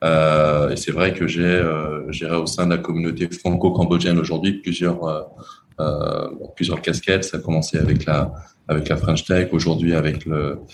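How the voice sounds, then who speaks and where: A man with a very deep, low pitch talks at a moderate pace in a monotone, flat intonation over noticeable background noise. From France. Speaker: entrepreneur. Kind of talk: interview. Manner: halting, many repetitions.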